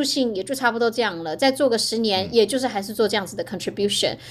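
A woman talks with lively intonation. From Taiwan (Hualien). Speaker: biotech product marketing director. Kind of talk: interview conversation.

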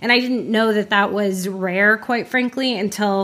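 Using a normal speaking voice, a woman with an American accent talks at a fairly slow pace. Her pitch is medium and her intonation fairly even. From Florida, Orlando. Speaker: advertising production head. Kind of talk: casual interview.

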